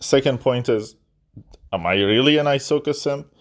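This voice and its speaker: A man with a non-native accent, speaking at a very slow pace. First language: not English (third language). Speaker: gaming YouTuber. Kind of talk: casual response monologue. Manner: halting, stuttering; repetitive filler words.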